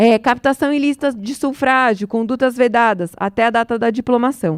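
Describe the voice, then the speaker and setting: Recorded very cleanly against a silent background, a woman speaks high in pitch with ordinary pitch variation, the sound dry and close with no echo. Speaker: electoral law speaker. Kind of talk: lecture. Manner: fast.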